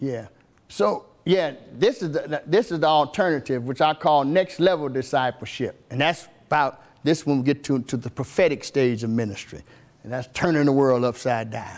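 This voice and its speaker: At a moderate pace, a man talks in an animated tone, his pitch fairly high with ordinary pitch variation. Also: very clean recording, silent background. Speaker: pastor. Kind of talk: sermon.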